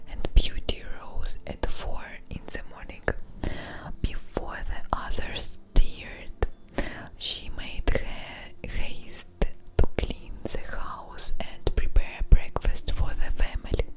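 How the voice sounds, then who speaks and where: Whispering at a very slow pace with long, frequent pauses, a woman shows big swings in loudness against noticeable background noise. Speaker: ASMR streamer. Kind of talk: ASMR soft-spoken storytelling. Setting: studio microphone. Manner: soft-spoken, whispery, relaxing.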